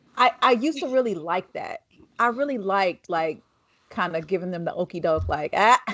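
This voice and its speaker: A woman speaks in a medium pitch with an animated tone. She moves at a fairly quick pace, and her pitch swings very widely. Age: young. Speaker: podcast host. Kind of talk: casual chat.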